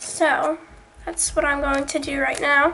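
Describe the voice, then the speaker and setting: A woman's voice over noticeable background noise. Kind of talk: craft tutorial talk to camera. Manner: casual, hesitant.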